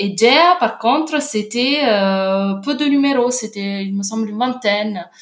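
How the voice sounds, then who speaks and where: A woman with an Italian accent, fairly high in pitch, at a very slow pace with hardly any pauses and lively intonation, over noticeable background noise. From Italy, Naples. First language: Italian (speaking French). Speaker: literature researcher. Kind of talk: casual interview. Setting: remote call. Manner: halting, frequent repetitions.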